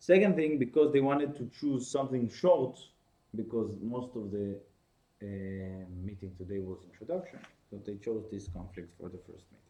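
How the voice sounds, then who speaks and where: A man with an Israeli accent and a dark, mellow tone of medium pitch speaks at a moderate pace with lively intonation and big swings in loudness. He leaves long, frequent pauses, and audible room echo surrounds him. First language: Hebrew. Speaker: course teacher. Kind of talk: lecture. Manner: halting.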